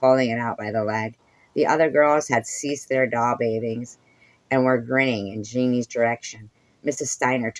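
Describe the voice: Simply plain reading aloud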